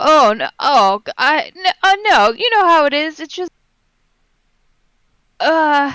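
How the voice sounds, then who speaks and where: Whiny and high-pitched, a put-on character voice moves at a fairly slow pace with long, frequent pauses. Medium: actual play. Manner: stammering, wheedling.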